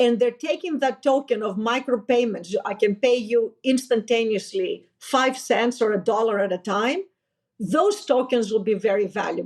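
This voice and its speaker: In a Greek accent, a woman speaks at a moderate pace with a fairly high pitch. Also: ordinary pitch variation. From Greece. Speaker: finance executive, company founder. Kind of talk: interview conversation.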